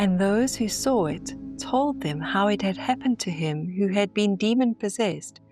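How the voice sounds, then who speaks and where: Over music in the background, a woman speaks at a moderate pace with a medium pitch and very wide pitch swings. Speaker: narrator. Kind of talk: scripture reading. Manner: reverent.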